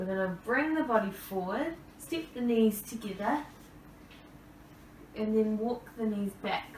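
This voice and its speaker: A woman talks at a fairly slow pace with a fairly high pitch. The room echoes audibly and there's noticeable background noise. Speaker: yoga instructor. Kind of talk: guided yoga class. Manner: calm, soothing.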